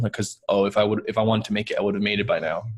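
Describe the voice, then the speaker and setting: A man with a fairly low pitch and a slight New York accent talks at a very fast pace. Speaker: podcast host. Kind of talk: casual interview chat.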